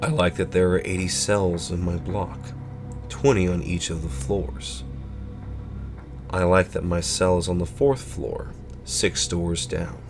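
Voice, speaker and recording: There is music in the background behind a man with a very deep, low pitch. He speaks at a fairly slow pace with lively intonation and long, frequent pauses. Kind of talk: horror story narration.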